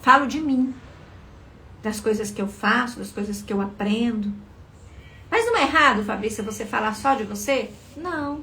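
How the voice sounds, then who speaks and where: A soft-spoken woman at a fairly high pitch and moderate pace, with ordinary pitch variation, long, frequent pauses, audible room echo and noticeable background noise. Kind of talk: live motivational talk. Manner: expressive.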